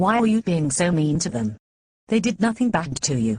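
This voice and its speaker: Putting on a growling character voice, a woman at a fairly low pitch uses very wide pitch swings, a moderate pace and very even loudness. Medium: comedy sketch. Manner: casual, laid-back.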